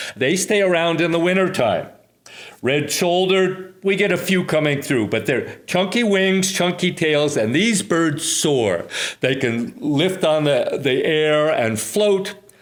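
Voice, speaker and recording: Speaking fairly slowly in an American accent, a man with a high voice uses lively intonation, with audible echo from the room. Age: 70s. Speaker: retired teacher and hawk watch leader. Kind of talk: interview explanation. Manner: halting.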